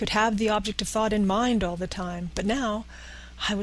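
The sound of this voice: This is an unforced reading voice. The text is read aloud plainly in it.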